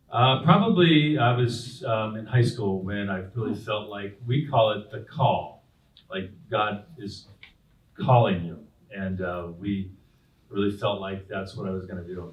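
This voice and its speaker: Somewhat breathy and fairly low-pitched, a man with an American accent talks at a fairly slow pace with ordinary pitch variation and audible room echo. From Southern California (Whittier, La Habra, Brea). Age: 60s. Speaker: pastor. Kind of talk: interview on stage. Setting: stage with audience at community breakfast. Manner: halting, many fillers and repeats.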